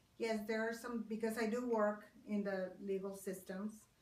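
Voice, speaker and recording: A woman with a Spanish accent speaks at a fairly slow pace in a monotone, flat intonation. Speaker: court interpreter. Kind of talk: interview.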